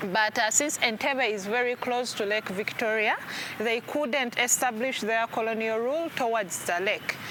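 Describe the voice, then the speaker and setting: A woman with a Ugandan accent, fairly high-pitched, at a moderate pace with ordinary pitch variation, over noticeable background noise. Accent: Ugandan accent, own remark. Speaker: tour guide. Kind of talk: guided tour explanation.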